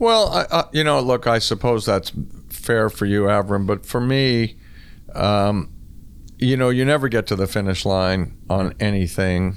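In an ordinary speaking voice with a Canadian accent, a man talks fairly slowly at a fairly low pitch, with ordinary pitch variation and very even loudness. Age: 60s. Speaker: former squash champion. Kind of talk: interview conversation.

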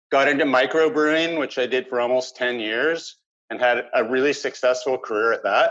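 A man with a Canadian accent has a normal speaking voice, a medium pitch and fairly even intonation. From Vancouver Island, Canada. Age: 50s. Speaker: peer supporter with lived mental illness. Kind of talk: interview.

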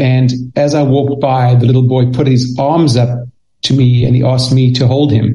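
A somewhat breathy man with a South African accent speaks at a moderate pace and medium pitch, his intonation fairly even amid audible room echo. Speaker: children's author and speaker. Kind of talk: interview. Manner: halting, repeats words.

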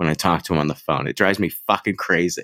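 A man talks fairly quickly in an animated tone. The sound is dry and close with no echo, in a very clean recording with a silent background. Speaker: podcaster. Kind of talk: casual chat. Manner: animated, laughing often.

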